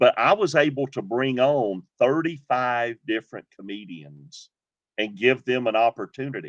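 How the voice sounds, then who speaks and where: A man speaks in a Southern US accent at medium pitch. His pace is moderate. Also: lively intonation, dry, close sound with no echo. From Georgia. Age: 50s. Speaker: comedian, former pastor. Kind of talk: interview answer. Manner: upbeat.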